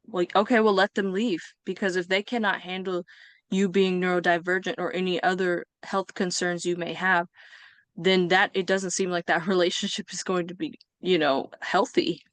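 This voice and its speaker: A woman with an American accent at medium pitch, a plain, everyday voice at a moderate pace against a quiet background. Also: fairly even intonation, dry, close sound with no echo. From US West Coast (Bay Area, California). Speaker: podcast guest. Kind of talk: interview.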